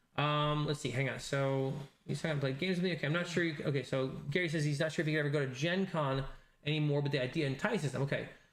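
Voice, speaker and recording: Talking at a very fast pace, a man keeps his intonation fairly even at a fairly high pitch. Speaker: livestream host. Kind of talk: casual livestream chat. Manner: halting, many restarts; mumbling.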